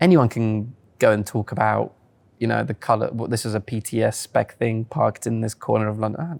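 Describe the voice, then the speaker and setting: In a dry, close recording with no echo and a silent background, a man with an unremarkable speaking voice talks at a fairly quick pace, medium pitch and ordinary pitch variation. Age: 20s. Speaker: car journalist and video presenter. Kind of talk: casual interview chat.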